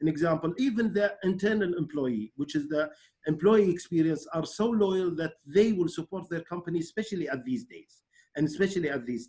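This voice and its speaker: A man speaks at a high pitch with an Arabic accent, lively intonation and big swings in loudness. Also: fairly quick pace. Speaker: webinar host. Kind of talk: online interview. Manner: halting.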